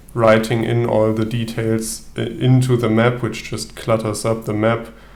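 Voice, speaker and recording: Spoken in a German accent at a fairly slow pace, the voice stays monotone and flat amid audible room echo. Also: man. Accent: German accent (self-noted non-native English). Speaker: solo tabletop gamer, video creator. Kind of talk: casual video intro, gameplay commentary. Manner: hesitant, many fillers.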